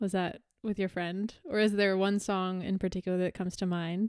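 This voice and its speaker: A woman speaks with a Canadian accent at a medium pitch. Her tone is dark and mellow. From Canada. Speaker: podcast host and musician. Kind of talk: interview. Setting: video call.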